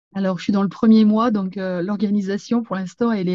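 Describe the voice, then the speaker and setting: A woman speaks at a medium pitch in a somewhat breathy, dark, mellow tone. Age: 50s. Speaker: franchise store owner. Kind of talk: interview. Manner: hesitant, many fillers.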